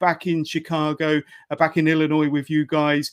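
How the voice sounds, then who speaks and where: This man has a British accent and a fairly high pitch. He speaks at a moderate pace. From UK. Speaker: podcast host. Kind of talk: casual interview. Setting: remote call.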